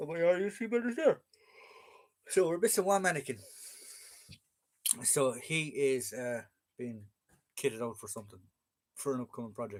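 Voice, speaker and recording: With an Irish accent, a man with a fairly high pitch speaks in very wide pitch swings and big swings in loudness, broken by long, frequent pauses. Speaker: military collectibles collector and live streamer. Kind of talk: casual live-stream chat. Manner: fast.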